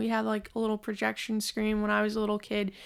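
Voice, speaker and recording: A woman with an American accent speaks at a fairly high pitch on a very clean recording with a silent background. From Long Island, New York. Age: 20s. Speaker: podcast host. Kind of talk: casual monologue.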